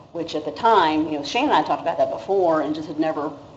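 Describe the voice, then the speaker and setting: Speaking at a very fast pace with a very deep, low pitch and ordinary pitch variation, a woman is heard with audible room echo. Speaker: city staff presenter. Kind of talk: council budget presentation.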